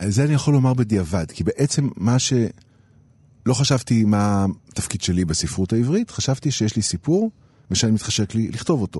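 A man's dark, mellow, somewhat breathy voice with lively intonation, very even loudness and a moderate pace. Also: medium pitch for a man. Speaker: writer and illustrator. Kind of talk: interview. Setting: radio studio.

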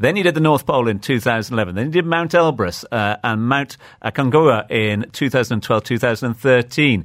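A man with a normal speaking voice at medium pitch talks fairly quickly with lively intonation and hardly any pauses, in a very clean recording with a silent background. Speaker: radio interviewer. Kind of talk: interview. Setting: radio studio.

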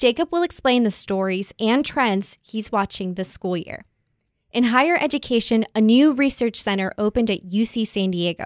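In an unremarkable speaking voice, a woman talks at a moderate pace with lively intonation, the sound dry and close with no echo on a very clean recording with a silent background. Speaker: podcast host, managing editor. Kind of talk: casual podcast chat.

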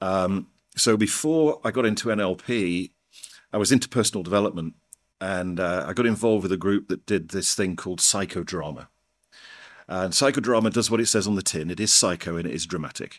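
A man with an East Midlands accent speaks at a fairly quick pace, his pitch very deep and low, with ordinary variation. The recording is very clean, with a silent background. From northern England, North Nottinghamshire (Mansfield). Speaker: NLP trainer. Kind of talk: interview.

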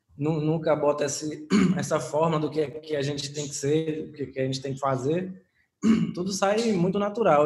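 The man's voice is somewhat breathy, fairly high in pitch, and fairly even in intonation. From Paulo Afonso, northern Bahia, Brazil. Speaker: musician, band member. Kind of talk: casual interview. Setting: remote recording. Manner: halting, many fillers.

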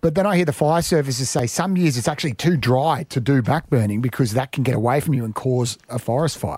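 A man with a medium pitch talks at a very fast pace with hardly any pauses, sounding somewhat breathy, with ordinary pitch variation. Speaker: radio host. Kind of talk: casual radio banter. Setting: studio.

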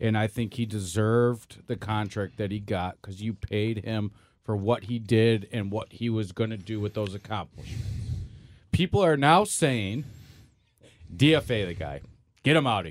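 An ordinary speaking voice from a man at a fairly low pitch, ordinary pitch variation and moderate pace, in a very clean recording with a silent background. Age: 30s. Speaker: podcast co-host, webmaster. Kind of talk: casual sports talk.

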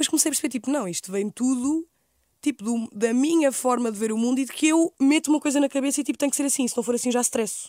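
A woman with a European Portuguese accent talks very fast in a high voice with a dark, mellow tone. The recording is very clean, with a silent background. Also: ordinary pitch variation. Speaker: youtuber. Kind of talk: casual chat.

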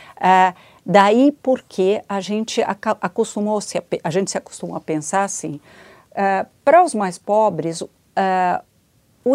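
At a fairly slow pace, a woman speaks with a dark, mellow tone at medium pitch. The recording is very clean with a silent background, and the sound is dry and close with no echo. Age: 60s. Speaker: education policy expert. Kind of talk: interview. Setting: studio.

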